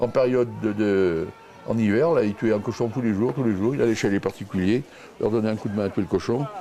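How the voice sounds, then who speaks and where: He has a plain, everyday voice, pitched fairly low with ordinary pitch variation. The man speaks at a fairly quick pace. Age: 60s. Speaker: villager, pig butcher. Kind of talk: casual chat.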